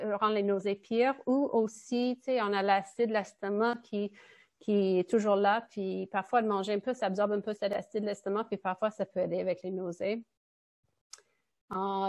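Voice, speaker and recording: Against a quiet background, an ordinary speaking voice goes at a fairly slow pace. The intonation is fairly even. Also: woman. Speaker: nutritionist. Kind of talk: presentation.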